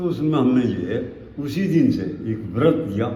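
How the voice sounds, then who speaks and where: A man's voice shows ordinary pitch variation, with audible room echo and noticeable background noise in the recording. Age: 80s+. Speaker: retired agriculture official and yoga teacher. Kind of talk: interview.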